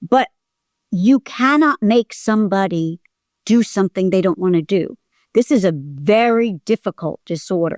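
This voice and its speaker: Here is a woman with an unremarkable speaking voice at medium pitch. Her intonation is lively and her pace moderate. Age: 60s. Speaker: acting teacher and coach sharing hoarding recovery. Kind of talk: interview.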